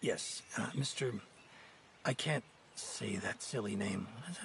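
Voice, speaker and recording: A man puts on a raspy character voice at a medium pitch, with very wide pitch swings. He keeps a calm tone at a moderate pace, with clear background noise behind him. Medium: video game. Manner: calm, measured.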